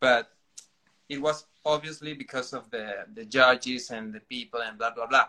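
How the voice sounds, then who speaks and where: Speaking with a Spanish accent, a man talks at a moderate pace in a medium pitch with a bright, sharp tone. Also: ordinary pitch variation, big swings in loudness. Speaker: dancer. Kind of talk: casual chat. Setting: online livestream. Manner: halting.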